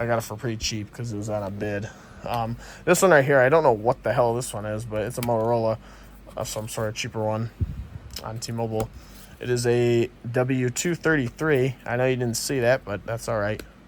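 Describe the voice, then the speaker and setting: A man with a normal speaking voice talks at a medium pitch and a fairly quick pace, with fairly even intonation. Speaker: tech hobbyist YouTuber. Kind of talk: casual show-and-tell vlog.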